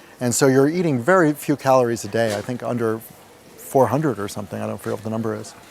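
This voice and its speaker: A man with a New York accent talks at a very fast pace, his pitch medium and its variation ordinary. Noticeable background noise runs behind him. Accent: New York American. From US, New York. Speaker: meditation retreat participant. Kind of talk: testimony.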